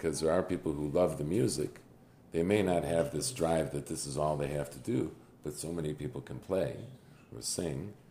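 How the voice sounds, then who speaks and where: With vocal fry and a dark, mellow tone, a man speaks at a very deep, low pitch and a moderate pace. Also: ordinary pitch variation. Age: 50s. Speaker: podcast host. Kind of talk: interview.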